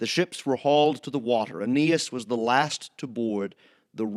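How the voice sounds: A natural reading voice with ordinary pitch variation is heard against a quiet background.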